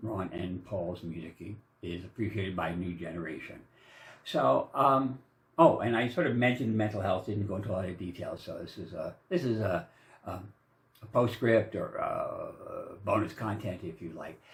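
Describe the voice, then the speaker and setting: A man with a fairly low pitch sounds somewhat breathy, his intonation lively and his loudness swinging widely. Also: moderate pace. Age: 60s. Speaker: vlogger. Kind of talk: casual monologue. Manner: halting, many fillers; rambling.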